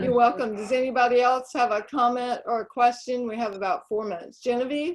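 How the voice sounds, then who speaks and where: A woman talks at a fairly quick pace in a Southern US accent, with hardly any pauses. Her pitch is high, with ordinary variation. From North Carolina, Fayetteville. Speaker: online group host and blogger. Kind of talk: casual group discussion.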